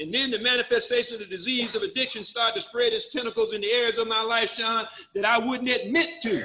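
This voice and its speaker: Raising and projecting his voice, a man speaks at a fairly quick pace with an extremely high pitch and ordinary pitch variation. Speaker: recovery speaker. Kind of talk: personal testimony. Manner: animated.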